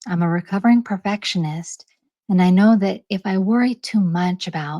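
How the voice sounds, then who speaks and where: In an American accent, a woman speaks quietly with a calm, dark, mellow tone, the sound dry and close with no echo on a very clean recording with a silent background. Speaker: channel host reading articles aloud. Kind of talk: introduction to a read-aloud episode. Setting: home recording. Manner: calm and quiet; medium pace, clear enunciation.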